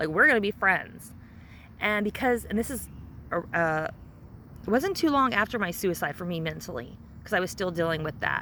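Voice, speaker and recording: A woman speaks at a moderate pace with a bright, sharp tone and lively intonation. There is vocal fry, and she leaves long, frequent pauses. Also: medium pitch for a woman. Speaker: vlogger sharing life with Asperger's. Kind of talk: personal testimony. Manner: loud; halting.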